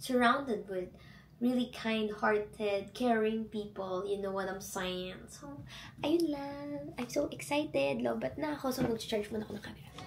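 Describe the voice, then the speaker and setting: A woman speaks at a medium pitch and a fairly slow pace, her pitch swinging very widely and her loudness rising and falling sharply, with audible room echo around her. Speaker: travel vlogger. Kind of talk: vlog talk to camera. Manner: animated.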